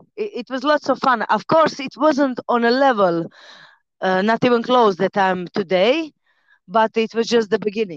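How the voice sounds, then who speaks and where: In a Croatian accent, a woman speaks at a moderate pace with fairly high pitch and lively intonation, in a dry, close sound with no echo. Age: 30s. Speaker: fighter and personal trainer. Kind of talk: casual interview.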